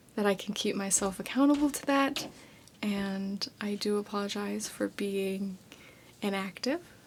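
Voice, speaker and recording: A voice is whispering. Background noise can be noticeably heard. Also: fairly slow pace. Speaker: ASMR creator. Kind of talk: ASMR whispered ramble. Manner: whispered.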